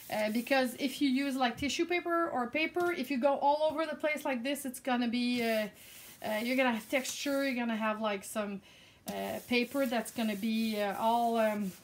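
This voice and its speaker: Speaking at a moderate pace in a French-Canadian accent, a woman with a high voice shows ordinary pitch variation. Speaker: craft product creator. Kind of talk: tutorial. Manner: halting.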